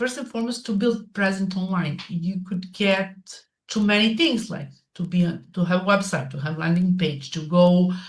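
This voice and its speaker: Speaking at a moderate pace with a non-native accent, a woman with a medium pitch, ordinary pitch variation and a somewhat breathy voice is heard with audible room echo. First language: not English. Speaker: digital marketing coach and podcaster. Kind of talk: interview. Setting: live stream. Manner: halting.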